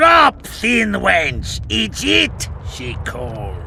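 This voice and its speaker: A man's put-on character voice at a very slow pace, over clear background noise. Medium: video game. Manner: broken grammar, simple words.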